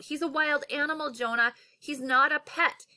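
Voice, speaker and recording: A woman performs a put-on character voice. Her pitch is high and her intonation lively. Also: moderate pace. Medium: read story.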